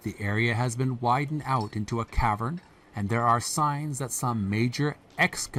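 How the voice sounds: Pitch moves in an ordinary way throughout this natural reading voice.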